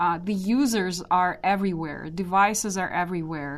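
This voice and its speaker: Against a quiet background, a woman with a Russian accent speaks at a fairly slow pace and medium pitch. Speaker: database architect. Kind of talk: interview.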